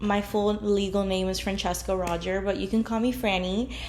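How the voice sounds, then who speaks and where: A woman speaks at a moderate pace and a medium pitch. Noticeable background noise and audible room echo surround her voice. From New Jersey (North Bergen), Cuban-American. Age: 20s. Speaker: podcast host. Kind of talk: casual chat.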